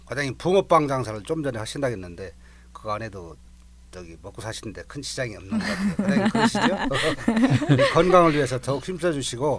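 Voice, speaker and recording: Over noticeable background noise, a man talks at a very fast pace with long, frequent pauses, big swings in loudness and very wide pitch swings. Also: fairly high pitch for a man. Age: 60s. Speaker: retiring fire station chief. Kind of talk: radio interview.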